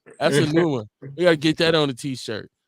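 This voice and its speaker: A man's voice, fairly high in pitch. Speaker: radio show host reading live chat. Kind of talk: casual live radio chat. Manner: plain reading, no dramatic voices.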